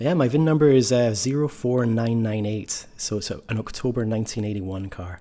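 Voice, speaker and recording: Speaking with a Scottish accent, a man has a dark, mellow tone and ordinary pitch variation. He talks fairly quickly with hardly any pauses. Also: medium pitch for a man. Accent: Scottish, slightly tamed. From Scotland, Ayrshire. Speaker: car enthusiast and designer. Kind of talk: casual interview. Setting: call from garage.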